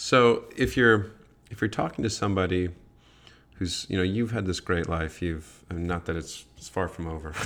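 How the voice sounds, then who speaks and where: With an American accent, a man speaks at a moderate pace in a very deep, low pitch, with ordinary pitch variation and big swings in loudness, in a very clean recording with a silent background. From US Midwest. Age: 40s. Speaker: podcast host. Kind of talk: casual chat.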